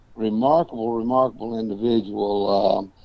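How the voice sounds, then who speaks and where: A man with a Tennessee accent, medium pitch, a dark, mellow tone and a moderate pace. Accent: US Southern (Tennessee). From Tennessee, Murfreesboro area. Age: 70s. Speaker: ranch manager and cowboy historian. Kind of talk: interview.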